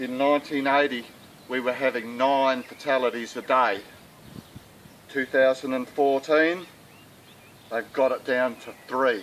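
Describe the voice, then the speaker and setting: An Australian accent at a fairly slow pace, with long, frequent pauses and noticeable background noise. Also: man, medium pitch for a man. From South Australia. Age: 60s. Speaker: sheep farmer. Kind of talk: appeal talk to camera. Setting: outdoors.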